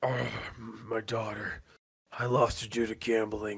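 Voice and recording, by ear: Putting on a character voice, a man growls in a raspy tone at medium pitch and a fairly slow pace.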